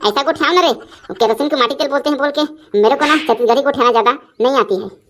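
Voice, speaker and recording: In a cartoonish character voice, a woman races along at a very fast pace with a high pitch and lively intonation. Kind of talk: standard Hindi, barely knows Chhattisgarhi. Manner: fussy, concerned.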